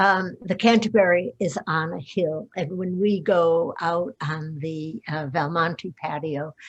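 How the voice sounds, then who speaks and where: Speaking at a very slow pace, a woman with a fairly low pitch sounds somewhat breathy, her pitch varying in an ordinary way against a quiet background. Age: 80s+. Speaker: retirement community resident. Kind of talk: panel discussion.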